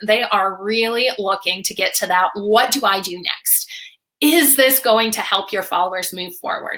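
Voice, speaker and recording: Her fairly high voice has a bright, sharp tone and ordinary pitch variation. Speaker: social media marketing webinar host. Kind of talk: live webinar presentation. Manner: fast; animated.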